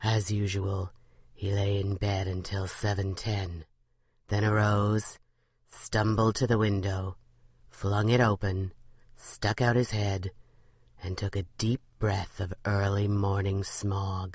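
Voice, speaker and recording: A woman does a playful put-on character voice, pitched very deep and low, with monotone, flat intonation. She talks fairly slowly, with long, frequent pauses. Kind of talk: horror bedtime story. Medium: read story. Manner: dry, darkly playful.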